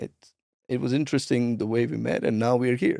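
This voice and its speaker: A man is speaking. He has a Punjabi accent. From India, Punjab. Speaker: transformation coach and speaker. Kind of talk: interview.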